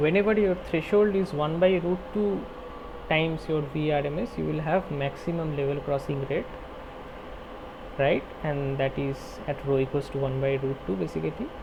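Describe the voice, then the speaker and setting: Noticeable background noise behind a man's fairly high voice, with ordinary pitch variation at a moderate pace. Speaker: teaching assistant. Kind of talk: online tutorial problem-solving session.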